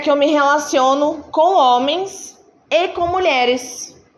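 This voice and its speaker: At a fairly slow pace and high pitch, a woman talks with lively intonation amid noticeable background noise and audible room echo. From Sorocaba, São Paulo state, Brazil. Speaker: company diversity group member. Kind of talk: talk to students.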